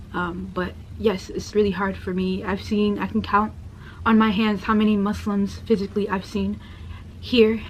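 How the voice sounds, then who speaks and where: A woman with an American accent at a moderate pace, with audible room echo. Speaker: convert sharing her story. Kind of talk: personal testimony. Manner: soft-spoken.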